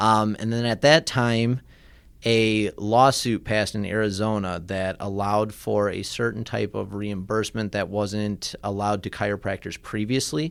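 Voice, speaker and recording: A man's fairly low-pitched voice with a slight Midwestern accent, at a moderate pace and with fairly even intonation, on a very clean recording with a silent background. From US Midwest, Michigan. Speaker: chiropractor. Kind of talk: radio interview. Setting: radio studio.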